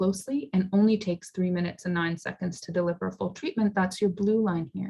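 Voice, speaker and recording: A somewhat breathy woman's voice at medium pitch, fairly quick, with fairly even intonation. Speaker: psychiatrist giving a talk. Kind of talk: lecture. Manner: fast.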